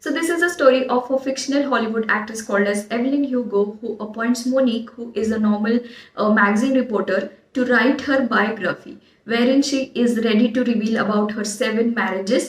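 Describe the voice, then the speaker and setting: A woman with an Indian accent, fairly high-pitched and fairly quick, with ordinary pitch variation and noticeable background noise. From India, Marathi-speaking region. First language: Marathi. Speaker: book vlogger. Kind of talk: book recommendations video. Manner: frequent hesitations (uh); enthusiastic.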